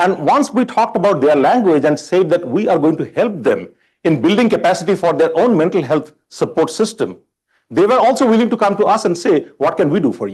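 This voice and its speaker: A man's high-pitched voice with an Indian accent, lively intonation and a fairly quick pace. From India (Bombay). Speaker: college chancellor candidate. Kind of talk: job interview forum. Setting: public forum with live audience.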